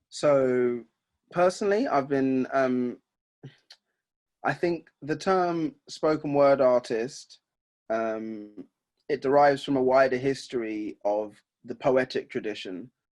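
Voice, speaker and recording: A man speaks at a very slow pace with long, frequent pauses. His pitch sits in the medium range. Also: ordinary pitch variation. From England, Essex. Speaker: hip hop and spoken word artist, activist. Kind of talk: interview. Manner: hesitant, repeats words.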